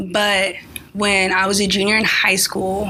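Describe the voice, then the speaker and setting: Over noticeable background noise, a woman with an American accent talks at a fairly slow pace and a medium pitch. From California. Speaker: engineering student. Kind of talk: casual interview. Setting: radio studio.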